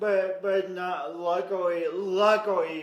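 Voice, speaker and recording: An American accent comes through with audible room echo and noticeable background noise. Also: man. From US Midwest, Sioux Falls, South Dakota. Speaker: motivational speaker and coach. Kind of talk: interview storytelling. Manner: halting.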